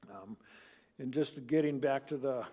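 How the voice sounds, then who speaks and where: A man's fairly high voice, dark and mellow in tone, with monotone, flat intonation. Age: 70s. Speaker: Bible class teacher. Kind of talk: Bible study lesson. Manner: halting.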